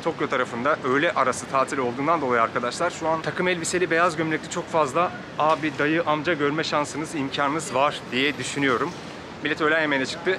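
Amid noticeable background noise, a man talks at a fairly quick pace with fairly even intonation and very even loudness. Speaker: travel vlogger. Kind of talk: casual vlog chat. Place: street. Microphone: phone near.

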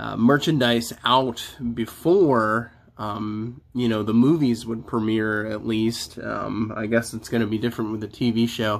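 A man speaks at a fairly slow pace. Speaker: toy reviewer. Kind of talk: casual unboxing review chat. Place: home room.

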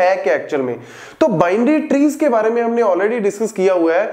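Moderately paced male speech in a room with audible echo. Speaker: teacher. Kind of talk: lecture. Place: classroom. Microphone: lapel.

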